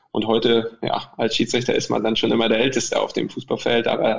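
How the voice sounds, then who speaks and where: A man talks at a fairly quick pace, his pitch sitting in the middle range. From Mecklenburg, near Schwerin, Germany. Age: 40s. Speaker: football referee (VAR). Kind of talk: interview. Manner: halting, many fillers and repetitions.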